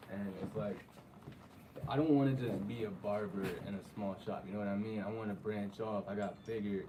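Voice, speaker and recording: Heard with room echo and noticeable background noise, a man speaks at a fairly low pitch with fairly even intonation. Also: fairly quick pace. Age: young. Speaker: young barber. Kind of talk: interview.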